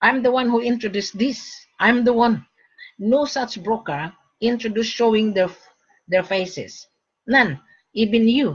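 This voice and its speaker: A woman talks at a moderate pace with a fairly high pitch, a somewhat breathy quality and ordinary pitch variation. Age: 60s. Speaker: gold broker. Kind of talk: sales pitch. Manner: animated.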